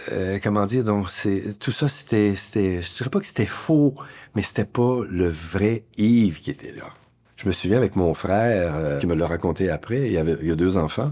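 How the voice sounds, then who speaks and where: A man speaks at a fairly low pitch with lively intonation and a dark, mellow tone. The recording is very clean, with a silent background. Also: moderate pace. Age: 70s. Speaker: community worker. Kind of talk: personal testimony.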